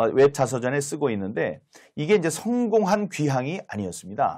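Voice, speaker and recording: A man delivers his words at a moderate pace. The recording is very clean, with a silent background. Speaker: former lawmaker, political commentator. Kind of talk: political talk-show discussion. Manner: hesitant, many filler sounds.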